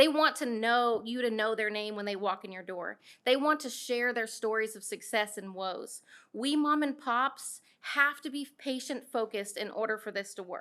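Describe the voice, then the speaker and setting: In a very clean recording with a silent background, a woman speaks with a bright, sharp tone and fairly high pitch. Her pitch varies in an ordinary way, while her loudness swings widely. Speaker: small cannabis processor business owner. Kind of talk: public comment at town hall, partly read from notes. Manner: fast.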